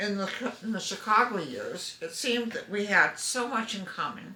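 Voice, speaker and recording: A woman at a moderate pace, with audible room echo. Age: 80s+. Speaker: family member sending a video greeting. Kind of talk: personal video letter.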